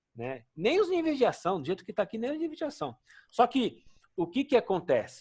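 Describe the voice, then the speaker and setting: Speaking fairly quickly, this man's intonation rises and falls in a lively way. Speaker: occupational safety instructor. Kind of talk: lecture.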